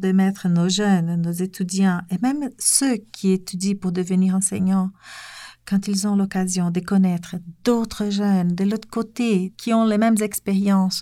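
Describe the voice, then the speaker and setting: A woman with a Portuguese accent, medium pitch and a dark, mellow tone, fairly slow and fairly even in intonation, on a very clean recording with a silent background. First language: Portuguese (speaking French). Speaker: French teacher, association president. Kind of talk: interview.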